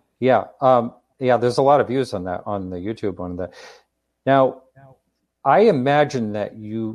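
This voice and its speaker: Over a quiet background, a man with an unremarkable speaking voice talks at a moderate pace and medium pitch. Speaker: talk show host. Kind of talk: interview. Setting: live stream.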